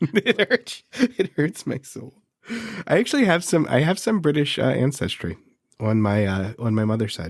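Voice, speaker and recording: Vocal fry and very wide pitch swings at a moderate pace, with a dry, close sound and no echo. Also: man, fairly high pitch for a man. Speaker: podcast co-host. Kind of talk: casual chat. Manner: announcer-style delivery.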